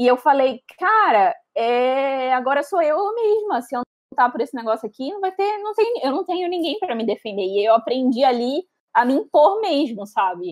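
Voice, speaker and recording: A woman speaks at a moderate pace in a high voice with very wide pitch swings. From São Paulo interior, Brazil. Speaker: English teacher, guest. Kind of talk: casual interview. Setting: live stream.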